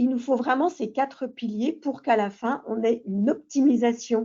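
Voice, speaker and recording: Using a put-on character voice, a woman talks at a moderate pace in a hoarse, high pitch. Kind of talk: professional explanatory talk.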